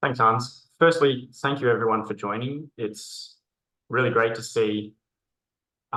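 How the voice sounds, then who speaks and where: An Australian-accented man's voice at medium pitch, bright and sharp in tone, at a moderate pace with ordinary pitch variation. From Australia, Melbourne. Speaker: conversational AI consultant. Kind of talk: webinar presentation.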